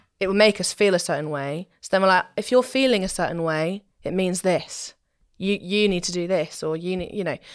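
A woman with a southern English accent and a medium pitch speaks at a fairly quick pace. The recording is very clean, with a silent background. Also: ordinary pitch variation. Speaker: trained singer. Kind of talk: casual chat.

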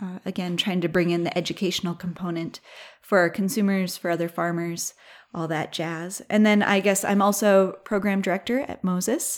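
In a very clean recording with a silent background, a woman with an American accent talks at a moderate pace and medium pitch. She has a plain, everyday voice and fairly even intonation. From southeast Minnesota. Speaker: sheep farmer and nonprofit program director. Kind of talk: casual interview.

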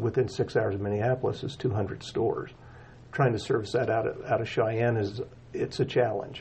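A man speaks in a fairly low, somewhat breathy voice. His intonation is monotone and flat. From Wyoming, Casper. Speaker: restaurant chain CEO. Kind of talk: interview. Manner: hesitant, many fillers.

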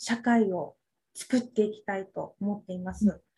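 Heard in a very clean recording with a silent background, a woman with a dark, mellow tone speaks at a moderate pace. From Okinawa, Japan. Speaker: medicinal cooking instructor. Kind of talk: interview.

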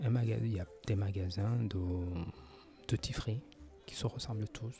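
Music plays behind a man whose fairly low voice moves with ordinary pitch variation. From France. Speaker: podcaster. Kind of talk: casual monologue. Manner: halting, many hesitations.

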